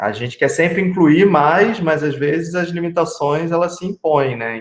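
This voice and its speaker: The speaker has a Rio de Janeiro accent. Pace is moderate, with ordinary pitch variation. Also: man, high pitch for a man. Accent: Rio de Janeiro (carioca). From Rio de Janeiro, Brazil. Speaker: city council candidate. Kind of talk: casual chat. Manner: halting.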